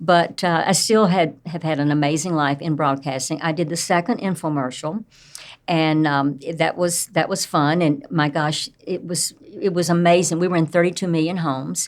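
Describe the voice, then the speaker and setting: With a Southern US accent, a woman speaks in a fairly low voice. Her pace is moderate and her intonation fairly even. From US South, Tennessee. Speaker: entrepreneur and speaker. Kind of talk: interview storytelling.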